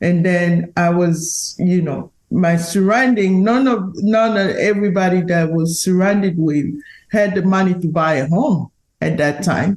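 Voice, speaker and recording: A woman with a strong non-native accent, fairly low in pitch with ordinary pitch variation, speaking at a fairly slow pace in very even loudness. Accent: strong foreign. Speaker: real estate agent. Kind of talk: podcast interview.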